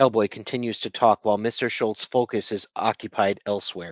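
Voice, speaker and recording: Over a quiet background, a man uses a put-on character voice at medium pitch and a fairly quick pace. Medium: read story.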